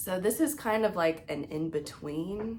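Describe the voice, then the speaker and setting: A woman at a very slow pace with lively intonation. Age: 30s. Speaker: knitting podcaster. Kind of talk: casual show-and-tell vlog. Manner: casual, many filler words.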